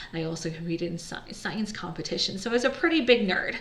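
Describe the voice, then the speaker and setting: A woman's medium-pitched voice with a Chinese accent and lively intonation, plus audible room echo and noticeable background noise. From United States. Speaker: entrepreneur, business founder. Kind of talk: personal story monologue. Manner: casual, conversational.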